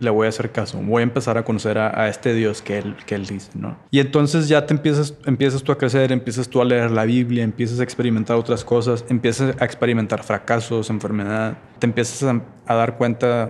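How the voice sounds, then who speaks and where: A normal speaking voice moves at a fairly quick pace. Its intonation stays fairly even. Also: man. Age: 30s. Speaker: podcast guest, churchgoer. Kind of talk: casual chat.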